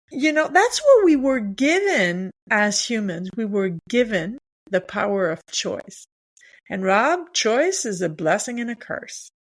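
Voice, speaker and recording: Very wide pitch swings in a French accent, at a fairly slow pace. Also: woman, fairly high pitch for a woman. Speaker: leadership coach. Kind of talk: podcast interview.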